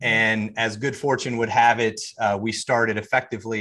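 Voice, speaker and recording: Over a quiet background, a man with an American accent speaks at a fairly low pitch in a bright, sharp tone with monotone, flat intonation. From US South, Charlotte, North Carolina. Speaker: serial entrepreneur. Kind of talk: interview.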